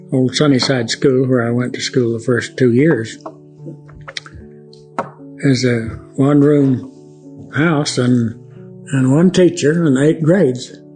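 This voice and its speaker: Over music in the background, a man with an American accent talks very slowly at a medium pitch, with fairly even intonation and long, frequent pauses. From Oklahoma. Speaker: World War II Navy veteran. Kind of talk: interview answer.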